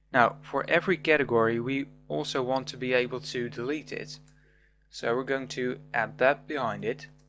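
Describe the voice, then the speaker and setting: With music in the background, a man talks at a moderate pace and a medium pitch. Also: ordinary pitch variation. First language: not English. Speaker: programming tutor. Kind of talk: tutorial.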